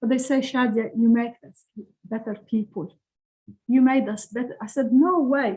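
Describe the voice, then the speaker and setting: A woman's high voice in a dark, mellow tone at a moderate pace, with ordinary pitch variation, big swings in loudness and long, frequent pauses. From Lebanon. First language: Arabic. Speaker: author. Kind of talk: interview. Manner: halting.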